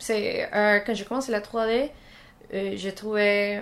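A woman in a Spanish accent, fairly high-pitched and fairly even in intonation, at a very slow pace. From Colombia. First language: Spanish (speaking French). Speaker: 3D character artist. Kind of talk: casual interview. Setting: at her home, filmed. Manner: halting.

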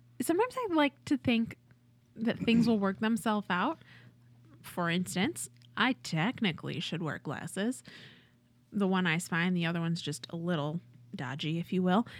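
At a moderate pace, a woman with an American accent speaks with very wide pitch swings in a very clean recording with a silent background. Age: 30s. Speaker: improv performer. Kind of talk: casual chat.

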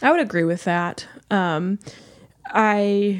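A woman's voice with fairly even intonation on a very clean recording, silent background. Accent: American. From St. Louis, Missouri. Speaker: veterinary student. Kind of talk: casual chat.

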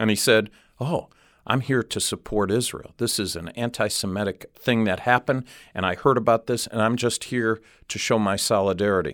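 Recorded very cleanly with a silent background, a man has an ordinary speaking voice with an American accent. His pitch is medium, with ordinary variation. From Cleveland, US Midwest. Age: 60s. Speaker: ministry director. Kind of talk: interview. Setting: studio.

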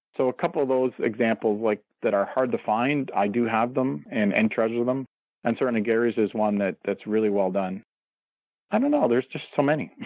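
Using a plain, everyday voice with a Canadian accent, a man speaks at a medium pitch with ordinary pitch variation and very even loudness. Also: fairly quick pace. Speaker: wrestling journalist. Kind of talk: interview. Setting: phone call.

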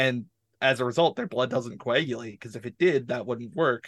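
At a fairly quick pace, a man speaks in an ordinary speaking voice with a Canadian accent, medium pitch, and ordinary pitch variation. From Canada. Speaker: tabletop RPG content creator and interviewer. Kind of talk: casual chat.

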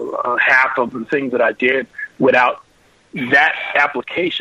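A man is speaking here. His voice comes across dry and close, with no echo. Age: 50s. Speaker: audio engineer and studio designer. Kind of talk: interview, casual chat.

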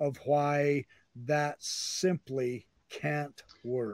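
The speaker is a man. His voice sits fairly high. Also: dry, close sound with no echo. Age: 60s. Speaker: podcast host. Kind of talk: casual chat.

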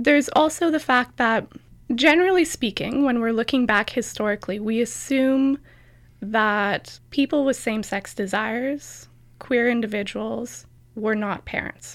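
A woman with a Canadian accent uses an ordinary speaking voice, fairly high in pitch, talking at a fairly slow pace with ordinary pitch variation on a very clean recording with a silent background. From Canada, rural Alberta. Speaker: PhD student in history. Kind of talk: interview.

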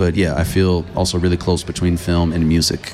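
In a Californian accent, a man with a very deep, low voice speaks at a moderate pace in a flat monotone over noticeable background noise. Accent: Californian American English. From US West Coast, Los Angeles. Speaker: film curator and researcher. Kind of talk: radio interview. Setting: festival live radio broadcast.

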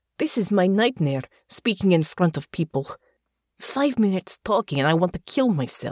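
The background stays quiet during plain reading aloud. Intonation moves in a lively way.

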